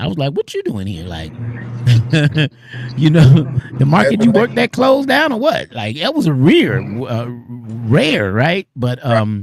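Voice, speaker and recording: A man speaks at a fairly slow pace. His pauses are long and frequent. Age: 60s. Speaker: radio host. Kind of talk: casual chat. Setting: studio. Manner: animated.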